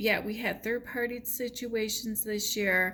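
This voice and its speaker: A woman with a Chicago accent speaks at a fairly slow pace in a bright, sharp tone with fairly high pitch. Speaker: tarot reader. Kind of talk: tarot reading monologue. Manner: animated.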